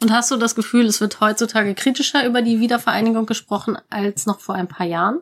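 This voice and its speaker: Fairly high in pitch, a woman talks at a very fast pace. She barely pauses, and her pitch varies in an ordinary way. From Hamburg. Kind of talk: casual chat.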